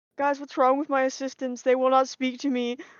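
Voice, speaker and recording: A woman speaks fairly quickly in a high-pitched, put-on character voice. Her intonation stays monotone and flat. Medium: actual play.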